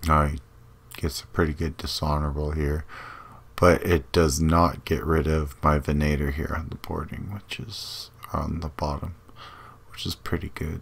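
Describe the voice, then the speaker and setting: The speaker's intonation is monotone and flat, with vocal fry throughout. The pace is moderate. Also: man, very deep, low pitch for a man. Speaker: gaming video creator. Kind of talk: gameplay commentary. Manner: casual, hesitant with fillers.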